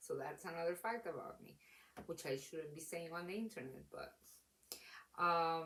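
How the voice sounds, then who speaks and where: A woman speaks with a non-native accent and a fairly low pitch. Her pitch varies in an ordinary way. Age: late 20s. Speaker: book reviewer. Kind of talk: casual talk to camera. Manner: rambling, hesitant.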